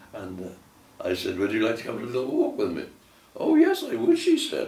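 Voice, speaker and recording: A man speaks fairly quickly with a West Country accent. Noticeable background noise is present. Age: 80s+. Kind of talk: family reminiscence interview. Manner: hesitant, repetitive.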